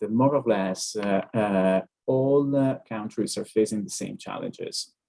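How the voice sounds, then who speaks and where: With an Italian accent, a man speaks at a moderate pace with a fairly low pitch, a dark, mellow tone and ordinary pitch variation. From Italy. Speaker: neurologist. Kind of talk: webinar Q&A answer. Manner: hesitant, frequent fillers.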